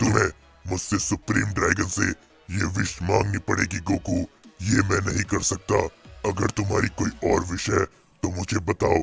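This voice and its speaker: A man's put-on character voice at a fairly low pitch and moderate pace, with faint music in the background. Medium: read story. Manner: solemn, formal.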